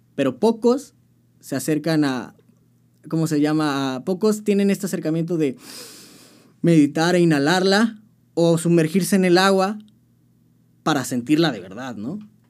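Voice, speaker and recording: A man's high-pitched voice with lively intonation, at a fairly slow pace with long, frequent pauses. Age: 20s. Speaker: band vocalist. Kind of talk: casual chat.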